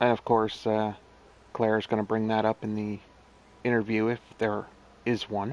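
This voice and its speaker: In a dry, close sound with no echo, a man speaks at a moderate pace with a fairly low pitch. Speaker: gaming streamer. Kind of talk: gameplay commentary. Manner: casual, rambling to self.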